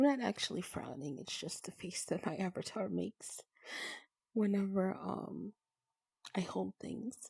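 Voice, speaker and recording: Soft-spoken and with a gentle tone, a woman talks at a fairly slow pace with long, frequent pauses in a dry, close sound with no echo. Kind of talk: soft-spoken ASMR gaming narration. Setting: recorded in a virtual reality social game while showing worlds. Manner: soft-spoken, gentle.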